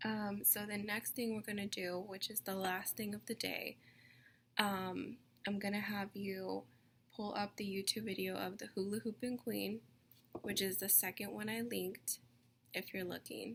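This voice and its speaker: Here is a normal speaking voice: a woman at a medium pitch, moving at a moderate pace with fairly even intonation. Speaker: teacher. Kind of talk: recorded lesson for young children. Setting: video call.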